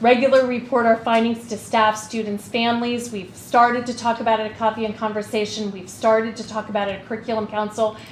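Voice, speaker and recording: Speaking at a very fast pace with hardly any pauses, a woman keeps a fairly high pitch. Her intonation is monotone and flat, and there is noticeable background noise. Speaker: school administrator. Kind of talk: committee meeting presentation. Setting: school board meeting.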